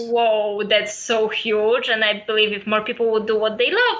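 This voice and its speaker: Speaking at a fairly quick pace, a woman with a Polish accent has a fairly high voice, and noticeable background noise runs behind her. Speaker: photographer and writer. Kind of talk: interview.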